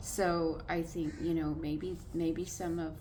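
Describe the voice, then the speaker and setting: Amid audible room echo, a woman with an American accent speaks at a very deep, low pitch with monotone, flat intonation. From California. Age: 60s. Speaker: vlogger. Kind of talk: casual monologue vlog. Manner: halting, many filler words.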